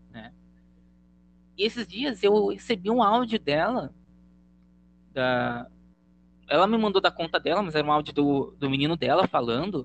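Talking at a moderate pace, a man makes very wide pitch swings. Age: 20s. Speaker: educator and blogger. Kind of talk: casual interview.

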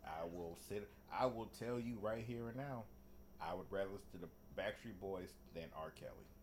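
At a moderate pace, a man speaks in a fairly low pitch with ordinary pitch variation and audible room echo. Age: 30s. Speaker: podcast co-host. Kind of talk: casual chat.

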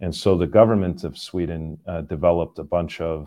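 A man's very deep, low voice in a Canadian accent, at a fairly quick pace. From Canada. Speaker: tech company CEO and labor economist. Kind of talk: interview. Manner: hesitant with many fillers.

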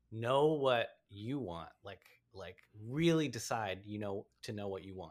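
A man with an American accent and a plain, everyday voice talks at a fairly low pitch, his intonation lively and his loudness swinging widely. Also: fairly slow pace. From Washington, D.C. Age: 40s. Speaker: stand-up comedian. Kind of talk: casual chat.

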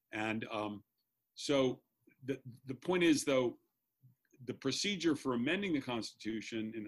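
With an American accent and an unremarkable speaking voice, a man talks at a moderate pace and a medium pitch with lively intonation. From US Mid-Atlantic, Maryland suburbs of Washington D.C. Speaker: law professor. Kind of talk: casual interview.

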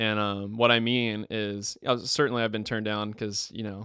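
With an American accent, the voice has a bright, sharp tone and monotone, flat intonation. It moves at a moderate pace on a very clean recording with a silent background. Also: man. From Florida (Tallahassee). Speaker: worship pastor. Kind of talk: casual chat. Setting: church office.

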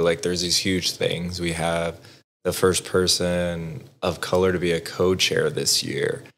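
A very deep, low-pitched male voice with an American accent. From Southwest Texas. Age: 20s. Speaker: veteran and nonprofit board member. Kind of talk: casual interview, personal story.

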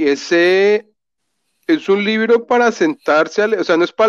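A man's lively, expressive intonation at a fairly slow pace, in a dry, close sound with no echo. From Colombia (Bogotá). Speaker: literature graduate. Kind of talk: casual chat.

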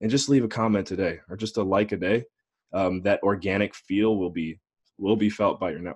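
Over a quiet background, a man talks at a fairly low pitch. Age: 20s. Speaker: investor relations specialist and podcast host. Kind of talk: interview.

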